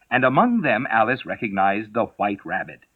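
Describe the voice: The voice does plain reading aloud. Nothing more is added to the delivery.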